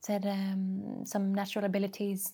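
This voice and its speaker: A woman's somewhat breathy, dark, mellow voice at a medium pitch, with a Norwegian accent. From Norway, Bergen. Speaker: entrepreneur. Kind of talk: interview.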